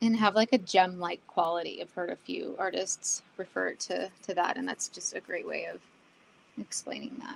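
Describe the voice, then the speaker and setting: A woman speaks at a moderate pace with big swings in loudness. Light background noise runs underneath. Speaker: artist streaming a painting session. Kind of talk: live painting demo chat. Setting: livestream. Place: home room. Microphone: studio mic.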